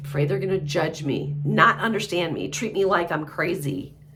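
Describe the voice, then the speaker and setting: A woman talks fairly slowly while audible echo from the room surrounds her. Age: 60s. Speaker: mental health practitioner. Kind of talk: casual monologue. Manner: halting.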